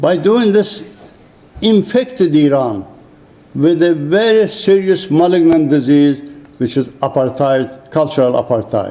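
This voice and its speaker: A man speaks at a fairly slow pace with a fairly high pitch, very even loudness and lively intonation over noticeable background noise. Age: 70s. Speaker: retired surgeon and rights advocate. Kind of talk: formal speech. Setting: conference room. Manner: halting.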